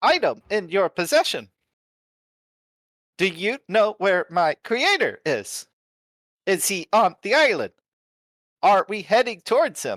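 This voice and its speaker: In a put-on character voice with a fairly high pitch, the speaker goes at a fairly slow pace with long, frequent pauses. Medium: actual play. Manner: formal, clipped, literal.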